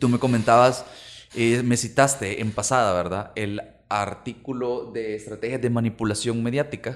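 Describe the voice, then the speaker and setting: A man with a Salvadoran accent and fairly even intonation. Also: medium pitch for a man, moderate pace. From El Salvador, Santa Tecla. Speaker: podcast co-host. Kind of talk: casual chat. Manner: halting.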